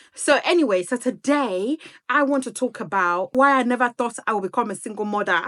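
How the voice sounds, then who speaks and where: Against a quiet background, a woman speaks in a bright, sharp tone with lively intonation. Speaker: single mother vlogger. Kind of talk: casual chat. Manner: talkative.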